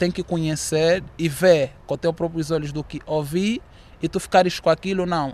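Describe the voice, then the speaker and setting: This is a man with a high voice. He talks at a moderate pace. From Angola. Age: 20s. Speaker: student. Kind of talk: interview. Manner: halting.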